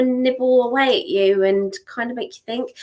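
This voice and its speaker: Speaking at a fairly slow pace, a woman with a southern English accent uses a high pitch. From southern England. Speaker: psychic tarot reader. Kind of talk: live-stream psychic reading. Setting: live stream. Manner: warm, chatty.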